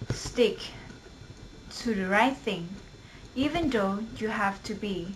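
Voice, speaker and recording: Over noticeable background noise, a woman with a Thai accent speaks at a medium pitch with ordinary pitch variation. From Thailand. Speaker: university student. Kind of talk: poetry reading.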